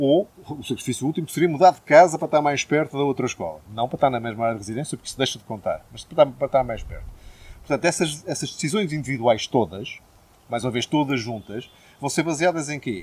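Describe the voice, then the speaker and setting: Talking at a very fast pace, a man with a fairly high, somewhat breathy voice swings widely in loudness. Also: ordinary pitch variation. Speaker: politician, party candidate. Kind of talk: political interview.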